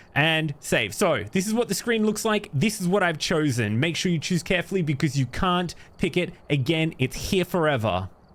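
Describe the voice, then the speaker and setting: A man with an Australian accent, high pitch, lively intonation, a moderate pace, very even loudness and hardly any pauses. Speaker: horror game streamer. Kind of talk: gameplay commentary.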